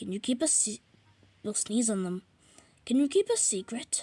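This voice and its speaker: Put-on character voice from a woman, fairly high-pitched, delivered at a moderate pace. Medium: read story.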